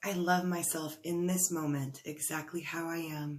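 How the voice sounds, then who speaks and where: In a calm tone, a woman with a fairly low pitch speaks at a fairly slow pace, her intonation flat and monotone. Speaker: life coach. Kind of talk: guided tapping session. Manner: slow, calm.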